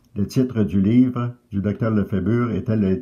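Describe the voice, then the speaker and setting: A man's fairly low voice with ordinary pitch variation. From Quebec, Canada. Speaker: retired phosphenism teacher. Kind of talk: testimonial to camera.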